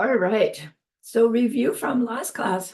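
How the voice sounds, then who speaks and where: Putting on a character voice, a woman speaks fairly slowly at a fairly high pitch, croaky, raspy and hoarse. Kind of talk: teacher giving a class.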